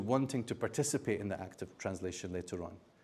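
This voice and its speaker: A man with a non-native accent. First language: not Arabic. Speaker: Quran scholar and translator. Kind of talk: lecture. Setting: university seminar with audience.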